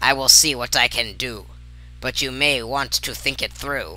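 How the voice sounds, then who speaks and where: Growling, a man performs a put-on character voice. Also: moderate pace. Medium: read story. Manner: speaks in rhyming couplets.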